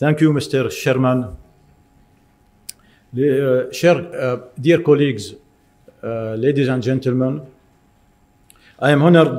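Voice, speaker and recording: Through audible room echo, a man with a fairly high pitch speaks at a fairly slow pace with fairly even intonation and long, frequent pauses. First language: French. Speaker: doctor presenting at a medical conference. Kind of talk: conference presentation. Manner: halting, with hesitations.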